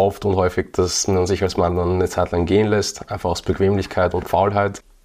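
The speech moves at a moderate pace with hardly any pauses, monotone, flat intonation and very even loudness. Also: man. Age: 30s. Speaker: fitness and nutrition entrepreneur. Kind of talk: casual chat.

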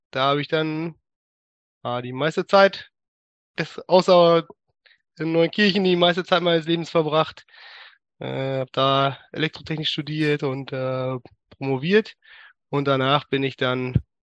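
Recorded with a dry, close sound and no echo, a man speaks at a fairly slow pace with ordinary pitch variation and long, frequent pauses. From Germany, Münsterland (Westphalia). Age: 30s. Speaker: church member. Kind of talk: interview. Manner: halting, many fillers.

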